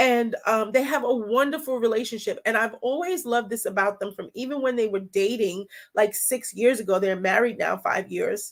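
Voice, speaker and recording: A woman with a fairly high pitch talks in an animated tone with ordinary pitch variation. She leaves hardly any pauses. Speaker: holistic health coach. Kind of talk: live-stream wellness talk. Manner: fast.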